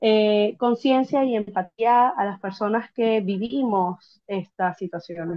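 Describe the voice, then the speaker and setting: A woman talks at a very slow pace with medium pitch. Her intonation is fairly even. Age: 20s. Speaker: interviewee sharing migration experience. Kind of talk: interview. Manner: hesitant, many fillers.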